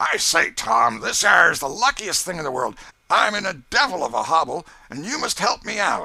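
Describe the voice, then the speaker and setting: In a put-on character voice, a man speaks high and raspy at a moderate pace, swinging very widely in pitch. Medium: read story.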